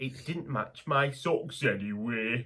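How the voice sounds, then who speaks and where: Putting on a character voice, a man speaks at a medium pitch and a fairly slow pace in a cheerful tone. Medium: read story. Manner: cheerful, kindly.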